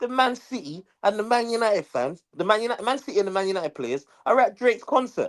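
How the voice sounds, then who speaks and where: The voice has a London accent and an animated tone. It moves at a very fast pace. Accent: London multicultural English. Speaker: football podcast co-host. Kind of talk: casual chat.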